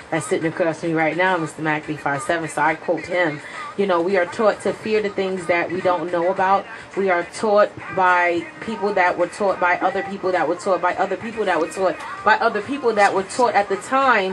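A woman speaks at a moderate pace with ordinary pitch variation as noticeable background noise continues. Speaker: radio show co-host. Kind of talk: radio talk show commentary. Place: studio. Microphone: studio mic.

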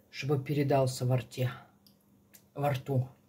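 A woman speaks in a very deep, low voice that is somewhat breathy. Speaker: home cook vlogger. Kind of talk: casual vlog chat. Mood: relaxed, savoring food. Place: kitchen. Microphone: phone near.

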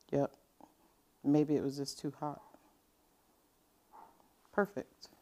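Speaking at a slow pace, a woman uses a low pitch with little pitch movement and a dark, mellow tone.

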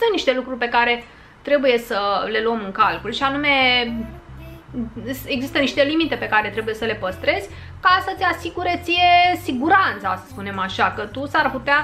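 Her high-pitched voice swings very widely in pitch at a moderate pace. A woman speaks over light background noise. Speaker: vlogger. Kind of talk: casual vlog chat. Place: home room.

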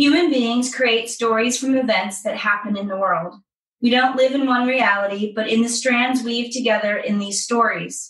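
A woman speaks in a plain, everyday voice, fairly high-pitched with fairly even intonation. Her pace is moderate. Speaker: podcast co-host leading positive psychology exercises. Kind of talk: guided exercise and casual storytelling.

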